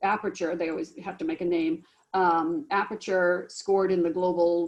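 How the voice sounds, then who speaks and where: A woman's medium-pitched voice, a normal speaking voice, at a moderate pace with fairly even intonation. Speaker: business professor. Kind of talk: academic information session.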